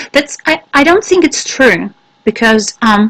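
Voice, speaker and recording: A woman with a Russian accent and a fairly high pitch. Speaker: English teacher trainer. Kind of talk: webinar Q&A. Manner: halting, many fillers.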